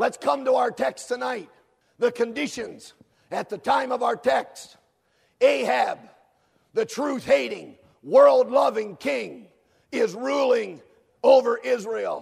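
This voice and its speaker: A man at a very slow pace, with long, frequent pauses over a quiet background. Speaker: preacher. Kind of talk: sermon. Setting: camp meeting. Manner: fervent, exhorting, with frequent amens and hallelujahs. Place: hall.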